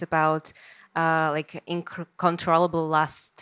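With a Slovak accent, a woman speaks fairly slowly at a fairly low pitch, recorded dry and close with no echo on a very clean track with a silent background. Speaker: moderator, newsletter co-founder. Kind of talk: public talk interview. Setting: stage with audience.

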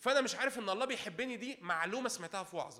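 A man with an extremely high voice speaks in an animated tone at a fairly quick pace with ordinary pitch variation. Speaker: preacher. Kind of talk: sermon. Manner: calm, unable to raise voice.

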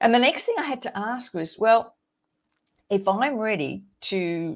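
A woman with an Australian accent speaks at a fairly slow pace with very wide pitch swings, on a very clean recording with a silent background. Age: 60s. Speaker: podcast host, midlife coach. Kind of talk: solo monologue podcast. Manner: animated.

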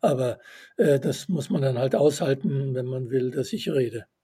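With ordinary pitch variation, the somewhat breathy voice carries a dark, mellow tone. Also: man. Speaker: author and systems theorist. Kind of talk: interview.

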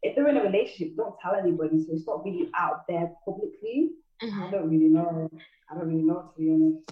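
A woman talks in a Manchester accent. Her pitch swings very widely. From Manchester, England. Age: young. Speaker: rapper and music artist. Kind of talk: interview. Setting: remote call.

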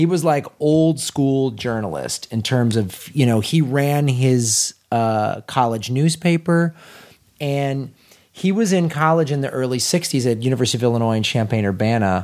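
An animated man with an American accent, medium pitch, a moderate pace and ordinary pitch variation. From US Midwest. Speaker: podcast host, comedian. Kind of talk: casual chat. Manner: animated, joking.

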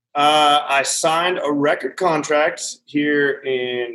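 In an American accent, a man speaks with fairly even intonation. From Montana. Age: 30s. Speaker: country musician. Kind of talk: casual chat.

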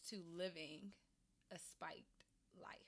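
A woman with a Maryland accent speaks at a fairly slow pace. Her voice sits at medium pitch with a bright, sharp tone. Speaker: podcast host. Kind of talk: casual interview chat. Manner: animated.

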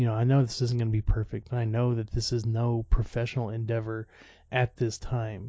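A man at a fairly quick pace, somewhat breathy, with monotone, flat intonation. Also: medium pitch for a man. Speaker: podcast host. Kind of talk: solo monologue. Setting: lying in bed at home.

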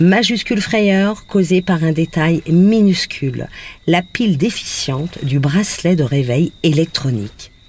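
Somewhat breathy and very slow, the voice keeps a very even loudness while its intonation stays lively. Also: woman, fairly low pitch for a woman. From Brittany, Saint-Malo. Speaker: radio columnist. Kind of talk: scripted narration. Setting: on location in Guadeloupe.

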